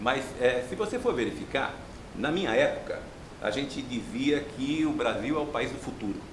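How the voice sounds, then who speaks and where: Noticeable background noise and audible room echo around a man with lively intonation. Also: fairly high pitch for a man, moderate pace. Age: 60s. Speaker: professor. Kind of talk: TV interview. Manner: halting.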